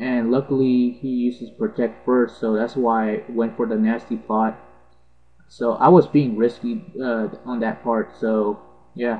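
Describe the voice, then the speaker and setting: A man's fairly even intonation over music in the background. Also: medium pitch for a man, fairly slow pace. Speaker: gaming video narrator. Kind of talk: gameplay commentary. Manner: halting, stuttering.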